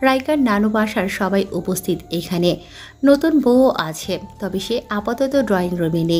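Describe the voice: Lively intonation marks this plain reading aloud.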